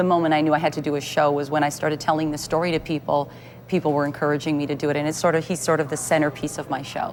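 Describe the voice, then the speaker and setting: Over noticeable background noise, a woman with a Canadian accent speaks very fast in a flat monotone, her pitch very deep and low. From Canada, Thunder Bay, Ontario. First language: Italian. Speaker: actress and playwright. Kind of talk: TV interview.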